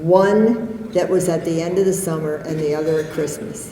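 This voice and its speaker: Noticeable background noise and audible room echo surround this recording. A woman speaks at a fairly low pitch and a moderate pace. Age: 70s. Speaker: author and poet. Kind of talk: motivational speech. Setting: stage with audience.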